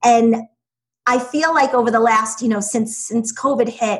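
A woman talks in a fairly high, somewhat breathy voice. Her intonation stays fairly even at a moderate pace. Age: 40s. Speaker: education business founder, former teacher. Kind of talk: interview.

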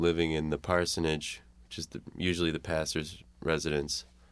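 Someone with a Chicago accent is heard on a very clean recording with a silent background. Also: man. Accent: Chicago American. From Chicago area, US. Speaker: musician. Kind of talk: radio interview. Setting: radio studio.

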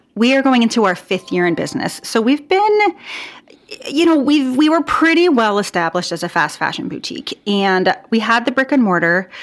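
Over noticeable background noise, a woman with an American accent speaks at a high pitch with very wide pitch swings. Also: fairly quick pace. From US Pacific Northwest, Portland, Oregon. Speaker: boutique owner and clothing designer, former physical therapist. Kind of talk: interview conversation.

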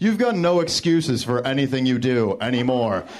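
Amid noticeable background noise and audible room echo, a man at a medium pitch speaks at a moderate pace with very wide pitch swings. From Detroit. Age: 30s. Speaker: comedian. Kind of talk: stand-up. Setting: stage with audience.

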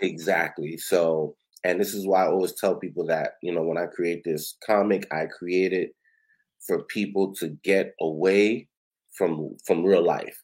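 With a New York accent, a man talks in a very deep, low voice at a fairly slow pace. His intonation is fairly even, and the recording is very clean with a silent background. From Brooklyn, New York. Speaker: comic book creator. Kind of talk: casual interview.

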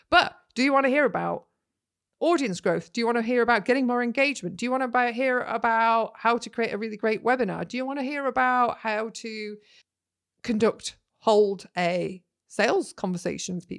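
A woman with a Yorkshire accent speaks at a fairly quick pace in a fairly high pitch, with ordinary pitch variation, on a very clean recording with a silent background. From Yorkshire, northern England. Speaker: podcast host, business marketing coach. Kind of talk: solo podcast monologue, casual teaching. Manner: animated.

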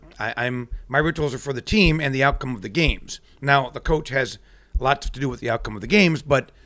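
With an American accent, a man uses an ordinary speaking voice at a fairly high pitch and a fairly quick pace. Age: 50s. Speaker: superstitious sports fan, former radio personality. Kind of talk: casual chat. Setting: video recording.

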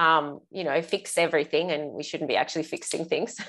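Over a quiet background, a woman with an Australian accent speaks at a very deep, low pitch. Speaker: parenting coach, guest. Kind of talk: casual interview.

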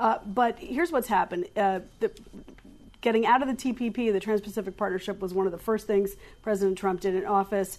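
A woman with an unremarkable speaking voice talks at a fairly quick pace, her medium pitch showing ordinary variation. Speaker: political journalist panelist. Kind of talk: panel discussion.

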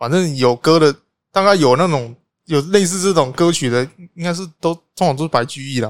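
The speaker has an animated tone, a fairly quick pace and ordinary pitch variation. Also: man, fairly high pitch for a man. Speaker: podcast co-host. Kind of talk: casual chat. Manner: animated, frequent laughter.

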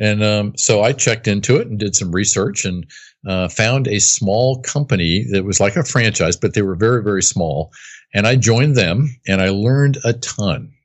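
A man with an unremarkable speaking voice and an American accent, fairly low in pitch, at a moderate pace with ordinary pitch variation. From US East Coast, near Washington DC. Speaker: business coach. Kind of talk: interview.

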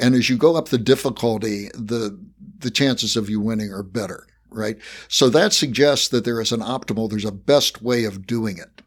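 An unremarkable speaking voice belongs to a man at a medium pitch, moving at a moderate pace with ordinary pitch variation. His loudness swings widely, and the recording is very clean over a silent background. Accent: American. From West Virginia, US. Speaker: podcast host and professor. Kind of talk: interview conversation.

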